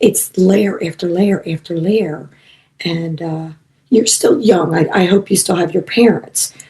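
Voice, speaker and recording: Somewhat breathy, a woman speaks in a dark, mellow tone. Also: medium pitch for a woman, ordinary pitch variation, fairly slow pace. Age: 60s. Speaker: psychic medium and animal communicator. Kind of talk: casual chat.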